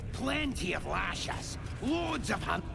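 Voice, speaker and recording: Amid loud background noise, a man does a put-on character voice at a fairly slow pace. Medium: game stream. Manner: rough, ungrammatical.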